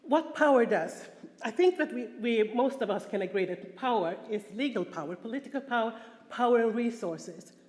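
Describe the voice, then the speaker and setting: A woman speaks with a Swedish accent at a fairly high pitch. Her intonation is lively and her pace moderate. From Sweden. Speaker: prostitution survivor and conference speaker. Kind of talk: conference talk. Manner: halting, with fillers and repetitions.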